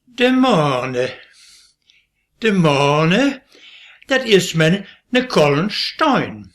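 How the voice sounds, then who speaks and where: This man speaks at a very slow pace, his pitch swinging very widely. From Westphalia, Möhnesee area. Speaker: dialect poet. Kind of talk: poetry reading.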